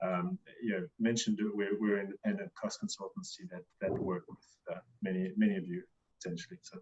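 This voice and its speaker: With a slight South African accent, a man speaks at a fairly quick pace with big swings in loudness. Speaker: cost consultant, quantity surveyor. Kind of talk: webinar interview.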